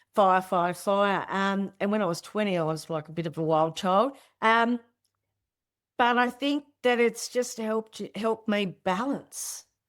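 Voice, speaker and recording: A woman at a medium pitch with an Australian accent, fairly slow pace and ordinary pitch variation, in a very clean recording with a silent background. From Australia, Tasmania. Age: 60s. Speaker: spiritual teacher. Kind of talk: interview conversation. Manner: casual, halting with repetitions.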